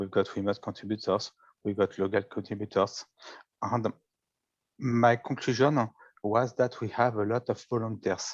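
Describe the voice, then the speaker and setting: A man's medium-pitched voice with a French accent, long and frequent pauses, and a dry, close sound with no echo. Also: fairly even intonation, moderate pace. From France, Paris area. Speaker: data visualization contest participant. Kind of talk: presentation of own work. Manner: halting.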